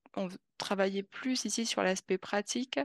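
In a dry, close sound with no echo and a quiet background, a woman speaks at a very slow pace and a medium pitch. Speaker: expat, continuous improvement specialist. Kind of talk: interview.

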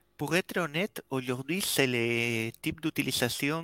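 Very slowly, a man with a slight Spanish accent talks at a medium pitch in a bright, sharp tone with ordinary pitch variation, on a very clean recording with a silent background and a dry, close sound with no echo. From Spain. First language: Spanish (speaking French). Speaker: developer relations team manager. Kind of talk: casual chat.

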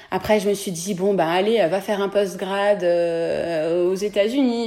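At a fairly slow pace, this is a plain, everyday voice with ordinary pitch variation. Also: woman. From France, Beaujolais area. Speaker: dentist. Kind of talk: interview.

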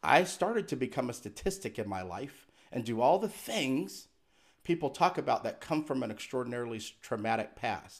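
In a very clean recording with a silent background, a man with a plain, everyday voice talks at a moderate pace and medium pitch, his intonation lively. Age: 40s. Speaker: inspirational speaker and author. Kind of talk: interview.

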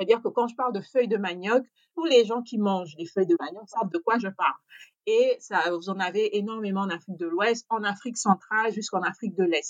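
A woman's medium-pitched voice, fairly quick, with ordinary pitch variation and a dry, close sound with no echo. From Gabon. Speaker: chef. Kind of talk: interview. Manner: hesitant, many fillers.

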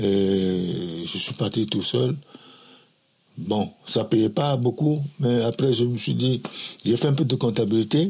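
Somewhat breathy, with lively intonation, the speech moves at a very slow pace broken by long, frequent pauses. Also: man, medium pitch for a man. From Togo, Lomé. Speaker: immigrant father recounting his life. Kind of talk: life story interview. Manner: halting, repetitive.

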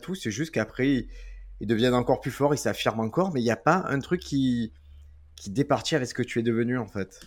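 Over a silent background in a very clean recording, a man talks at a very fast pace in a medium pitch with lively intonation. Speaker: podcast host and comedian. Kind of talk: casual chat. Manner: puts on a presenter voice for intros.

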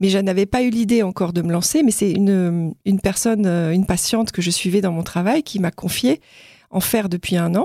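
Over a silent background on a very clean recording, a woman talks at a fairly quick pace in a dark, mellow tone with ordinary pitch variation. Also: medium pitch for a woman. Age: 50s. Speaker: nurse and pole dancer. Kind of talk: interview testimony. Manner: halting.

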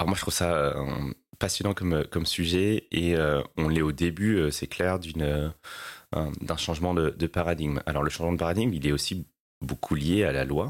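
On a very clean recording with a silent background, a man with a very deep, low pitch talks at a moderate pace and very even loudness. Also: ordinary pitch variation. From La Réunion. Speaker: sustainability executive. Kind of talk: interview. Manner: hesitant with many fillers.

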